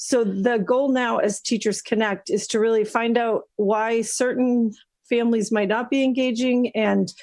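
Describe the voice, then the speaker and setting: A woman with a plain, everyday voice talks at a moderate pace with a fairly high pitch. Her intonation is fairly even, and the background is quiet. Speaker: school district administrator. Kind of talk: presentation at a school committee meeting.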